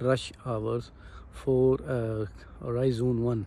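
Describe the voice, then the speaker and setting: This man's voice has a dry sound with no echo. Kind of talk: casual vlog chat. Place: street. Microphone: phone near.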